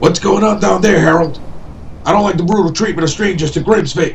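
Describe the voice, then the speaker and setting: Against clear background noise, a man uses a high-pitched, put-on character voice at a fairly quick pace. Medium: audio drama.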